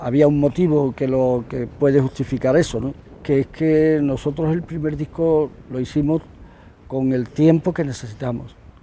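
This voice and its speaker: The man's voice sits at a fairly high pitch with a dark, mellow tone. His intonation stays fairly even. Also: moderate pace. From Andalusia, Spain (Huelva). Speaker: musician, guitarist in a rock band. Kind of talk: interview, casual chat. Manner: halting, many repetitions.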